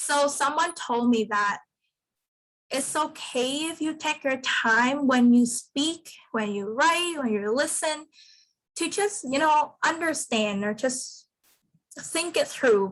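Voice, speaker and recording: A woman's high voice at a very slow pace, with lively intonation. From Vietnam. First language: Vietnamese. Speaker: student peer leader. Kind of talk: workshop sharing.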